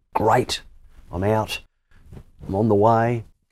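A man's dark, mellow voice with an Australian accent. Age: 60s. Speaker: sports broadcaster. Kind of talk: interview. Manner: halting, repetitive starts.

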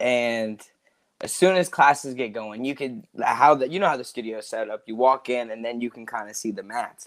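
A man with an American accent talks at a moderate pace in a medium pitch, an unremarkable speaking voice with ordinary pitch variation. His loudness swings widely. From US South, Georgia. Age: 20s. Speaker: martial arts instructor. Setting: video call.

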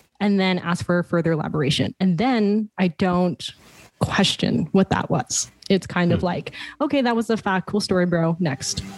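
Using an ordinary speaking voice, a woman with fairly low pitch talks at a moderate pace with lively intonation and very even loudness. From Toronto, Canada. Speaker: life transition coach and entrepreneur. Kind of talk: podcast interview.

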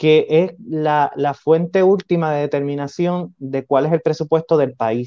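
Speaking fairly slowly with a Puerto Rican accent, a man uses a fairly high pitch. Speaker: podcast host. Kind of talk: political interview.

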